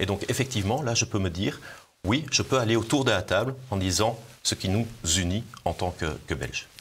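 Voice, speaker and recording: A man talks in a fairly low, somewhat breathy voice. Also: ordinary pitch variation, moderate pace. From Belgium, Brussels. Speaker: politician, party leader. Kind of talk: political interview. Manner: hesitant, repeats words.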